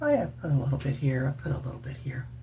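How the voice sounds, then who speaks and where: A woman's dark, mellow voice carries vocal fry, with audible room echo around it. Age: 60s. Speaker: retired cosmetics worker and faith vlogger. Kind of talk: makeup tutorial. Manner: casual, chatty.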